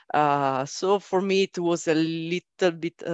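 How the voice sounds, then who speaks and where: A woman with an Italian accent speaks at a very deep, low pitch with fairly even intonation. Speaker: software development team leader. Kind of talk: panel interview.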